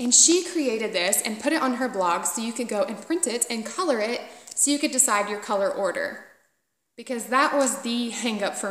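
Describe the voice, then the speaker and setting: At a moderate pace, a woman with a strong Southern US accent and a fairly high pitch speaks in an animated tone with lively intonation, her voice echoing audibly in the room. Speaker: knitting podcaster. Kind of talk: casual chat.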